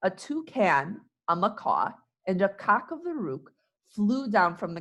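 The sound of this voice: The background stays quiet. An unforced reading voice carries the clip.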